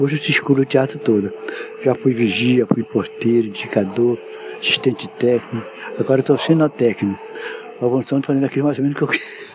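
A man with a medium-pitched voice talks at a fairly quick pace, with ordinary pitch variation and very even loudness, yet leaves long, frequent pauses. Noticeable background noise sits behind him. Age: 80s+. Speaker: theater technician. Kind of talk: interview storytelling. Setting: theater.

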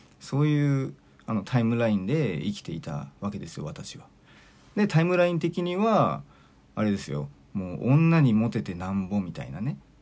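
Fairly low in pitch, this man's voice moves through very wide pitch swings. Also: moderate pace. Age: 40s. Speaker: podcast host and mental coach. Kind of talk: solo monologue podcast. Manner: casual, filler-heavy.

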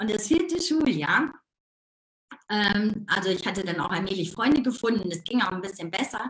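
Pitched fairly high, a woman's voice moves in very wide swings. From Ruhr area, Germany. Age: 50s. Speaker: life coach. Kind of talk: casual interview. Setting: live video stream. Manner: animated; fast.

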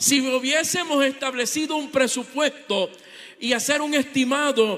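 Over noticeable background noise, a man with an extremely high pitch speaks fairly slowly in an animated tone, his pitch varying in an ordinary way. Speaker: visiting preacher. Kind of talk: sermon.

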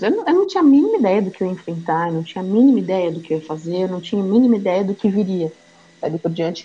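A woman speaks at medium pitch. Her pitch swings very widely. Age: 30s. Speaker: mother sharing personal story. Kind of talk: testimony.

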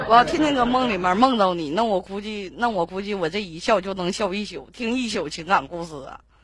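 Over noticeable background noise, a woman talks at a fairly quick pace with lively intonation, big swings in loudness and hardly any pauses. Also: medium pitch for a woman. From Liaoning, Benxi. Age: 20s. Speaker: caller. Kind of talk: casual chat.

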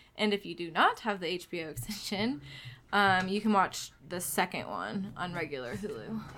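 A woman talks at a moderate pace and a medium pitch, her intonation lively. Her tone is bright and sharp, with vocal fry. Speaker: guest. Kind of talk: casual chat.

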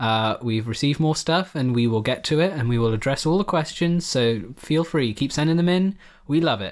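In an ordinary speaking voice, the speaker uses lively intonation at a moderate pace on a very clean recording with a silent background. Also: man, fairly high pitch for a man. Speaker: podcast co-host. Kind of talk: casual chat. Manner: joking.

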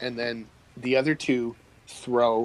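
Unforced voice for reading

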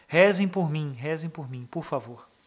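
A man talks with ordinary pitch variation. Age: 30s. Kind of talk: prayer and homily.

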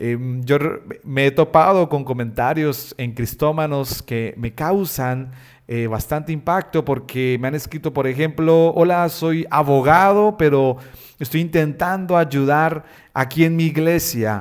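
A man speaks at a fairly slow pace with a fairly high pitch and ordinary pitch variation. The recording is very clean, with a silent background. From Colombia, Bucaramanga. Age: 30s. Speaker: pastor and web designer, podcast host. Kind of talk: solo podcast monologue. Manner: hesitant fillers.

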